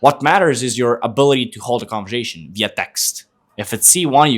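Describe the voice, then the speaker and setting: A man's animated voice with lively intonation at a very fast pace. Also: medium pitch for a man. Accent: Eastern European. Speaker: sales coach and podcast host. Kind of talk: casual chat.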